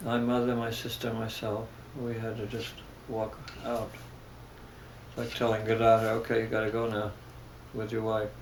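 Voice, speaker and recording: A man with an American accent speaks at a moderate pace and medium pitch in a monotone, flat way, with long, frequent pauses. Audible room echo and noticeable background noise surround him. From Germany, then New York from age 9. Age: 70s. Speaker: spiritual teacher. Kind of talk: interview. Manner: halting, many hesitations.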